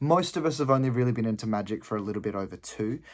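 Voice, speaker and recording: In an Australian accent, a man speaks at a medium pitch with ordinary pitch variation and a fairly quick pace. The recording is very clean, with a silent background. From Adelaide, South Australia. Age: 20s. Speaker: gaming hobbyist auditioning. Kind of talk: audition storytelling.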